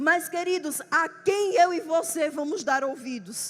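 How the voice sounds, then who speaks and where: In a Pernambuco accent, a woman talks in an animated tone at an extremely high pitch, with ordinary pitch variation. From Brazil, Pernambuco. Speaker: preacher. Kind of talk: sermon.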